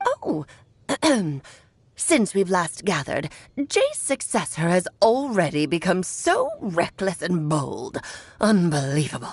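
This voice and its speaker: Using a put-on character voice at a medium pitch, a woman speaks at a fairly slow pace with long, frequent pauses. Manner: condescending, scornful.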